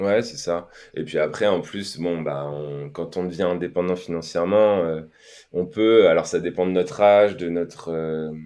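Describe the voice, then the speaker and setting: A man's very deep, low voice with a dark, mellow tone, at a fairly slow pace. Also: ordinary pitch variation. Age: 30s. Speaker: podcast guest, financially independent investor. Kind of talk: casual interview. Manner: hesitant, many fillers.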